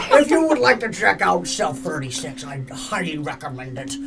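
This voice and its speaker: Putting on a character voice, a man speaks at a medium pitch and a moderate pace. His loudness swings widely against clear background noise. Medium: actual play. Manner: hesitant, halting, lots of filler.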